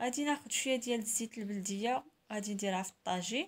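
Someone with a Moroccan accent speaks at a fairly quick pace with ordinary pitch variation. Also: woman. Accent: Moroccan Arabic (Darija). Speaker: cooking channel host. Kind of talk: cooking tutorial. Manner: casual, chatty.

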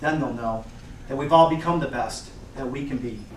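The speaker has an American accent and a moderate pace. Audible room echo and noticeable background noise fill the recording. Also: man. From Detroit, Michigan, USA. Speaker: motivational keynote speaker. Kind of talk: motivational keynote speech. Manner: upbeat, enthusiastic, encouraging. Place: classroom. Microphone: camera far.

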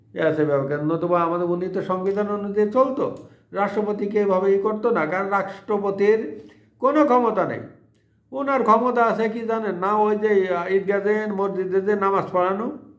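Audible room echo around a high-pitched male voice, its pitch varying in an ordinary way. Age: old. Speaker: political commentary YouTuber. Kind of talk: monologue political commentary.

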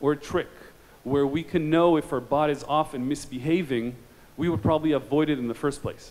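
This man's fairly high voice has a slightly mellow tone and ordinary pitch variation.

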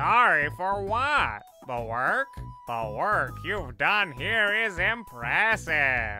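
Over clear music in the background, a man talks at a very slow pace. His fairly high pitch moves in very wide swings. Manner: warm, encouraging.

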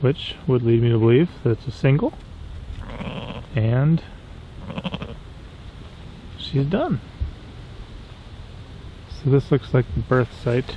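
A man's medium-pitched voice at a slow pace, with lively intonation, long, frequent pauses and faint background noise

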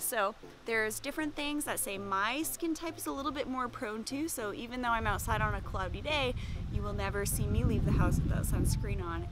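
The voice moves at a moderate pace over noticeable background noise, with a dry sound and no echo. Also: woman. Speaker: aesthetic nurse vlogger. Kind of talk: casual vlog chat. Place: garden. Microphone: phone near.

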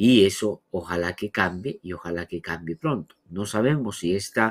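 A man speaks with a fairly low pitch. The background is quiet. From Peru. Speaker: radio news host; program host. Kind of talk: news analysis and interviews. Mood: critical, analytic. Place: home room.

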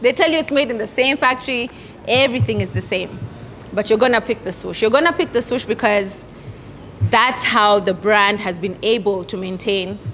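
A woman's lively intonation at a moderate pace, over light background noise. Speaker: workshop host. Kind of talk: workshop talk. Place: hall. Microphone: handheld.

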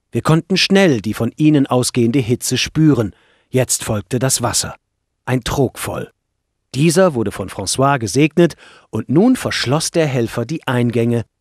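A man speaks in a plain, everyday voice at medium pitch, with lively intonation and a fairly slow pace. The sound is dry and close with no echo, and the recording is very clean over a silent background. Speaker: audiobook narrator. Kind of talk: audiobook reading, scripted first-person narration. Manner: measured, calm storytelling pace.

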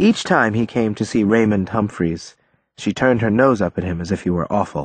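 Against a quiet background comes plain reading aloud with ordinary pitch variation.

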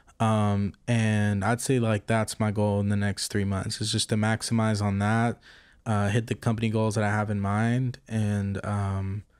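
A man with an American accent, his pitch fairly low and his intonation fairly even. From Texas, Fort Worth area; Texas. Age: 20s. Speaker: apparel designer and entrepreneur; podcast guest. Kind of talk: casual interview chat. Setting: recorded in person in Hollywood. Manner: halting, many fillers. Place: home room. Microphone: studio mic.

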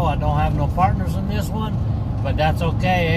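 Loud background noise sits behind the voice. A man speaks at a moderate pace. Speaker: fishing vlogger. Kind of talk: casual vlog chat. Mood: upbeat, relaxed. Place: car. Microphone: phone near.

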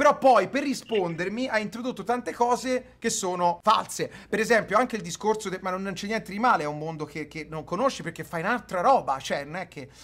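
The delivery is fairly quick and animated. Loudness rises and falls sharply. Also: man, high pitch for a man, lively intonation. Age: 30s. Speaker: streamer. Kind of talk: heated debate. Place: home room.

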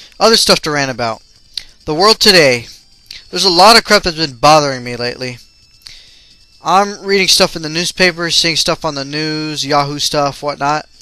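A man's fairly high voice at a moderate pace, with ordinary pitch variation, long, frequent pauses and noticeable background noise. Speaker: gaming video ranter. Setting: home recording while playing a video game.

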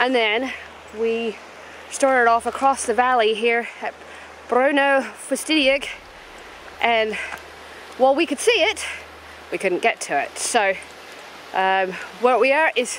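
A woman's high voice at a fairly slow pace, with ordinary pitch variation, long, frequent pauses, light background noise and a dry sound with no echo. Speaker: travel vlogger. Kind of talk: casual vlog chat. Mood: mildly exasperated recap. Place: open country. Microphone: phone near.

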